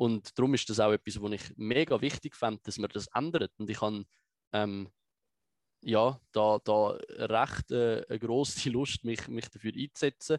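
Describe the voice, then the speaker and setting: At a fairly slow pace, a man talks at medium pitch with ordinary pitch variation, the sound dry and close with no echo. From Switzerland, Biel and Zurich lake area. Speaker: political activist and video explainer. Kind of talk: interview conversation.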